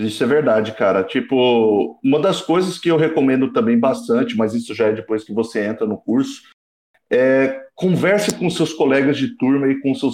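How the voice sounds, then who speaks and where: A man's unremarkable speaking voice, medium in pitch, at a moderate pace with lively intonation. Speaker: engineering student. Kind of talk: casual chat.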